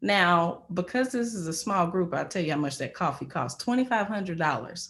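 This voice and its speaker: Lively intonation marks a woman's fairly low-pitched voice. The recording is very clean, with a silent background. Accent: American. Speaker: media professional sharing career story. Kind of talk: career talk to small group. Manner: casual with many fillers.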